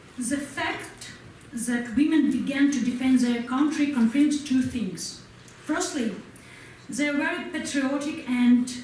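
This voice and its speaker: A woman with a Ukrainian accent speaks at a fairly slow pace in a high pitch with ordinary pitch variation, amid audible room echo and noticeable background noise. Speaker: war veteran. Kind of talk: speech to an audience. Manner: halting non-native English.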